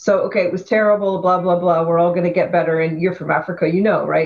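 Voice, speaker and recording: Fairly even intonation from a woman with a fairly low pitch. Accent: western Canadian. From Canada, Vancouver. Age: 50s. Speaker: activist and photographer. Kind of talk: interview.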